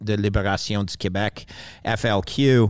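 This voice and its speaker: Recorded very cleanly over a silent background, a plain, everyday voice speaks at a fairly slow pace. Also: man. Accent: Canadian. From Canada, Montreal. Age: 50s. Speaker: retired bond trader. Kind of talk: interview conversation. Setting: studio.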